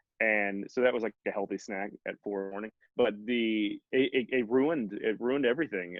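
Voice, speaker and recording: With an American accent, a man speaks at a fairly quick pace, medium in pitch with ordinary pitch variation. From Texas. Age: 30s. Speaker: keto dieter sharing weight-loss story. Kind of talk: casual interview. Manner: halting, many restarts and fillers.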